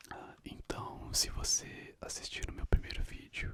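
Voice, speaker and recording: A man whispers in a calm tone. His pace is fairly slow. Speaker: ASMR content creator. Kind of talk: ASMR book reading of trivia, casual talk to camera. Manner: soft-spoken, calm, relaxing.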